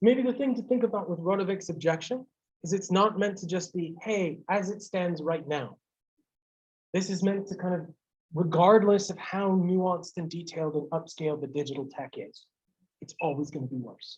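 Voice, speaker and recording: Someone with an American accent speaks at a moderate pace with ordinary pitch variation. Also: man, high pitch for a man. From United States. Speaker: university lecturer. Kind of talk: lecture. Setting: classroom lecture streamed on Zoom. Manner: loud; casual, hesitant with fillers. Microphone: bad audio on recording.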